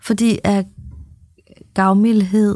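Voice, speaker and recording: Dark and mellow in tone and somewhat breathy, a woman speaks at a medium pitch in a monotone, flat intonation, the sound dry and close with no echo on a very clean recording with a silent background. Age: 50s. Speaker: podcast co-host and spiritual coach. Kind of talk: casual chat.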